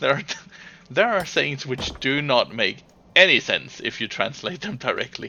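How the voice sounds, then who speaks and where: This man has a fairly high pitch and a Danish accent. He speaks at a moderate pace, his pitch swinging very widely. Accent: Danish accent, speaks it proudly. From Denmark. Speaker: gaming livestreamer. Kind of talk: casual chat. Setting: live stream. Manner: halting.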